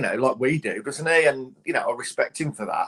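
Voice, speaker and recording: Fairly quick speech with a dry, close sound and no echo. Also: man. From West Midlands, England (Cannock area, Staffordshire). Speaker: radio sports presenter. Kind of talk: interview, casual chat.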